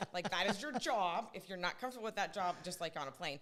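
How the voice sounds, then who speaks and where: A woman talks at a very fast pace with an American accent, her pitch fairly low. Her intonation is lively and her tone bright and sharp. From Southern California. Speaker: pastry chef. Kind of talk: casual interview.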